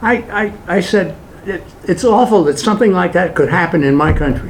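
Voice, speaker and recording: A man talks with a New York accent at a fairly quick pace and ordinary pitch variation. Noticeable background noise and audible room echo surround his voice. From Brooklyn, New York. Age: 80s+. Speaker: political activist speaker. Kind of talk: public talk with Q&A. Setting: hall with live audience.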